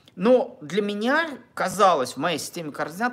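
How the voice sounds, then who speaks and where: A man speaks at a high pitch, his voice making very wide pitch swings. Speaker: relationship blogger. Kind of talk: monologue to camera. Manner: halting.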